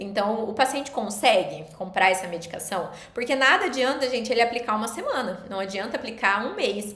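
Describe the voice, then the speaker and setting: A woman speaks at a fairly quick pace with a fairly high pitch, ordinary pitch variation and hardly any pauses, while audible room echo and noticeable background noise fill the recording. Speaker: nutritionist. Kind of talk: live stream lecture. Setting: live stream. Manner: fast.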